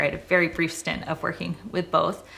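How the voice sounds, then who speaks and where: A woman with an American accent speaks at a fairly quick pace. She has an unremarkable speaking voice, pitched fairly low. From Boston area, US Northeast. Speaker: real estate agent. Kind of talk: casual personal introduction to camera. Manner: conversational with frequent 'um' fillers.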